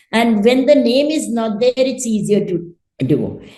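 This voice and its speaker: A woman's fairly high pitch with a dark, mellow tone, lively intonation and a fairly slow pace. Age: 70s. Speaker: retired mathematics professor. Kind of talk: interview answer.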